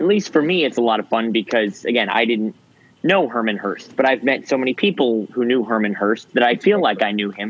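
Here is a man with a plain, everyday voice at a medium pitch. He talks at a fairly quick pace with lively intonation. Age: young. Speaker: podcast host. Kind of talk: casual chat. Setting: video call.

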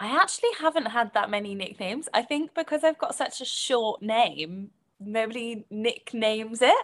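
With a British accent, a woman speaks at a moderate pace in a fairly high pitch, her intonation lively. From Britain. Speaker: podcast guest. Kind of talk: casual chat.

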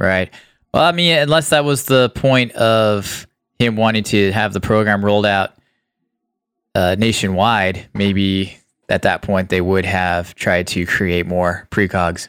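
On a very clean recording with a silent background, a man with an unremarkable speaking voice and fairly low pitch talks at a fairly slow pace, with ordinary pitch variation and very even loudness. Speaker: podcast host. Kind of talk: casual movie review chat.

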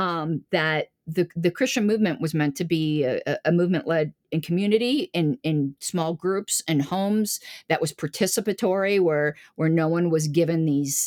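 A woman with an American accent uses a plain, everyday voice at a fairly low pitch with ordinary pitch variation, captured in a very clean, dry, close recording with a silent background and no echo. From Florida, US. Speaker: political party official. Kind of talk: interview conversation.

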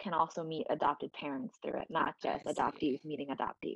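Speaking with a New York accent at a fairly quick pace, a woman sounds dry and close with no echo over a quiet background. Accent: New York area American. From US Northeast, Westchester County, New York. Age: 20s. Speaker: dancer and personal trainer. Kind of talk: casual interview chat. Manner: laughs often.

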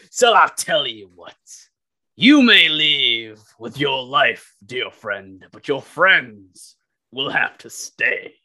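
A man's put-on character voice, menacing in tone, at a very slow pace. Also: fairly high pitch for a man. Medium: actual play. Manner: menacing, boastful.

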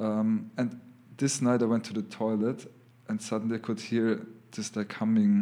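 A man with a German accent speaks at a moderate pace in a dark, mellow tone with monotone, flat intonation. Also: medium pitch for a man. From Lower Austria. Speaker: abstract artist. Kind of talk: casual chat.

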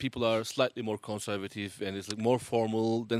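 With a Turkish accent, a man speaks at a fairly quick pace and medium pitch in a monotone, flat intonation, recorded with a dry, close sound and no echo. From Turkey. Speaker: multi-instrumentalist musician. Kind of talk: casual interview.

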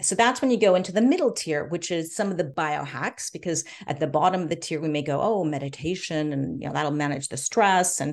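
Fairly low in pitch, a woman speaks with a Californian accent. Her pace is fairly quick, and the background is quiet. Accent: General American (California). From US, Los Angeles. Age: 50s. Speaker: gerontologist and biohacker. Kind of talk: interview.

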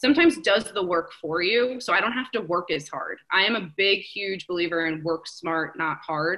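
A woman with a plain, everyday voice speaks at a moderate pace, her medium pitch showing ordinary variation. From New Jersey, US. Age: 30s. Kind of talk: casual interview chat.

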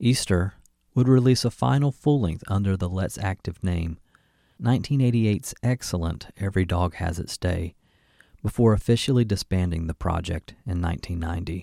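A man's very deep, low, dark and mellow voice in an American accent, with ordinary pitch variation at a moderate pace, dry and close with no echo, on a very clean recording with a silent background. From Georgia, US South. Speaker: podcast host. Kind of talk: scripted narration.

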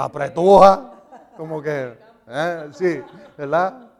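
Animated in tone, a man talks at a fairly high pitch with ordinary pitch variation. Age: 60s. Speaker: Bible teacher. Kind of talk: sermon.

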